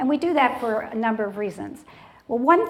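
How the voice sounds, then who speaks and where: A woman's fairly high voice with lively intonation at a moderate pace, over noticeable background noise. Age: 60s. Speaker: TV talk show host. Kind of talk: show host monologue to studio audience. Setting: TV studio with live audience. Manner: animated.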